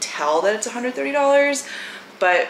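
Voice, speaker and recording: A woman talks at a fairly quick pace with light background noise and audible room echo. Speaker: vlogger. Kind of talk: casual vlog chat. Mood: relaxed, chatty. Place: home room. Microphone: camera far.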